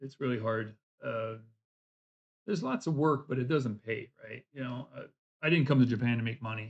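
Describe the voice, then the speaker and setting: A man's medium-pitched, somewhat breathy voice at a fairly quick pace, dry and close with no echo. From US South. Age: 60s. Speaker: language student and vlogger. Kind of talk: casual chat. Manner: halting.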